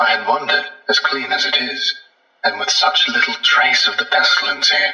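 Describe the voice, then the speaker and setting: A man uses a high-pitched, put-on character voice at a moderate pace. There is slight echo. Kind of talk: old-fashioned genteel speech. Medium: audio drama. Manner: formal, archaic, courteous.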